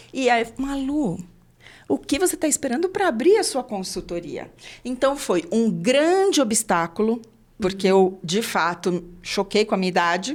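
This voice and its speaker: The recording is very clean, with a silent background. A woman speaks at a fairly slow pace and fairly high pitch, with very wide pitch swings. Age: 60s. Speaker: podcast host, HR consultant. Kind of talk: interview podcast.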